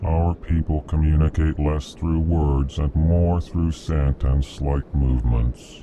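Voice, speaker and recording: Using a put-on character voice, a man speaks very deep and low at a fairly slow pace. His intonation is fairly even, with clear background noise behind him. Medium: video game. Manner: prefixes sentences with a stated emotion.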